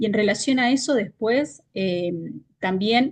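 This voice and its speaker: Here a woman speaks at a fairly slow pace in a somewhat breathy voice. Her pitch is fairly high, with ordinary variation. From Argentina. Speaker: leadership consultant. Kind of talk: interview.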